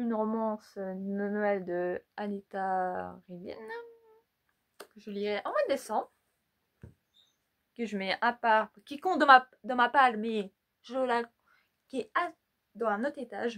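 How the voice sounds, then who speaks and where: Speech at a very slow pace with long, frequent pauses, ordinary pitch variation, big swings in loudness and a dry, close sound with no echo. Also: woman, fairly high pitch for a woman. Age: 20s. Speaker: YouTuber. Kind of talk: casual vlog. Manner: halting.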